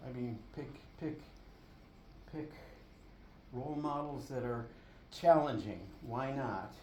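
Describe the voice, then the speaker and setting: A man with an American accent speaks at a medium pitch in a dark, mellow tone, with audible room echo. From Buffalo, New York, US. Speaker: artist. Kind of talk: artist talk at a gallery. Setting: gallery with audience. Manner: halting, many fillers.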